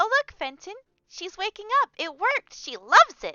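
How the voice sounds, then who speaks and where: At a moderate pace, the speaker uses a squeaky, put-on character voice. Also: woman, extremely high pitch for a woman. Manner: bright, cheery.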